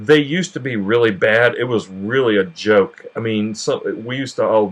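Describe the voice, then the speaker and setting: This man talks in a Southern US accent. The rise and fall of his pitch is ordinary. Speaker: cooking channel host. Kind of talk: tutorial. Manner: casual, with frequent fillers and repetitions.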